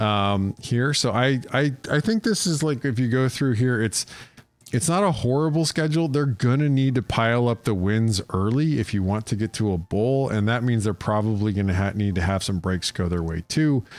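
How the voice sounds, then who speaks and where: A very clean recording against a silent background, with very even loudness and lively intonation. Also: man, medium pitch for a man. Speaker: college football analyst. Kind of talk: solo preview analysis. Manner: fast; casual with many fillers.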